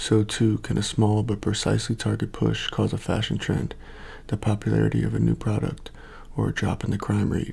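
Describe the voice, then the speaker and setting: Soft-spoken and very even in loudness, a man talks at a fairly quick pace. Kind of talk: ASMR book cover reading.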